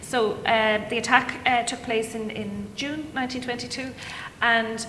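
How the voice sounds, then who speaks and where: A woman with an Irish accent talks at a fairly high pitch with fairly even intonation over noticeable background noise. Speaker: academic author. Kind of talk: panel discussion. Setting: stage with audience.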